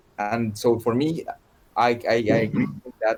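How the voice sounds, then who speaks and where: With a Spanish accent, a man speaks at a medium pitch with ordinary pitch variation. There is noticeable background noise. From Colombia. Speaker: contemporary dance artist. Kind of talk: casual chat. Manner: halting, repeats words.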